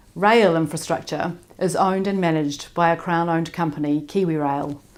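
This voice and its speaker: A woman with a fairly low pitch, ordinary pitch variation and a fairly quick pace. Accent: New Zealand. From New Zealand. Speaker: public works engineering association president. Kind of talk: conference presentation. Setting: remote recorded talk.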